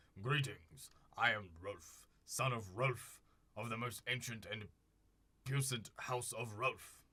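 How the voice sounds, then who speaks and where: Putting on a character voice, a man sounds strained and guttural at a medium pitch, talking at a fairly slow pace. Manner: pompous.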